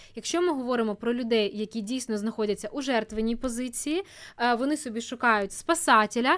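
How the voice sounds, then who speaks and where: In a very clean recording with a silent background, a woman speaks at a fairly quick pace with an ordinary speaking voice, fairly high-pitched with ordinary pitch variation. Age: 20s. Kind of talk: casual chat.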